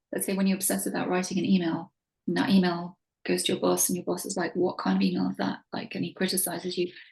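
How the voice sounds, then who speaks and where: A woman with vocal fry talks at a fairly quick pace and medium pitch. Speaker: religious teacher. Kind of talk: lecture.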